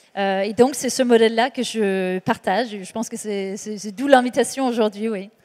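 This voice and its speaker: With hardly any pauses, a woman speaks at a moderate pace in a fairly high pitch, her intonation fairly even but her loudness swinging widely. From Denmark. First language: Danish (speaking French). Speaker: author and executive coach. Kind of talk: panel discussion. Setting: stage with audience. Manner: hesitant, many fillers.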